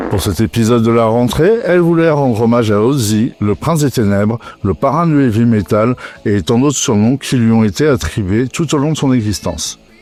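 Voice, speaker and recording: Medium-pitched male voice with lively intonation, very even loudness and a moderate pace, plus noticeable background noise. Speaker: metal music podcast host. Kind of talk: scripted podcast narration.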